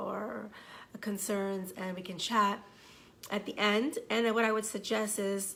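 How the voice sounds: A woman speaks at medium pitch with a fairly bright tone and vocal fry. The room echo is audible.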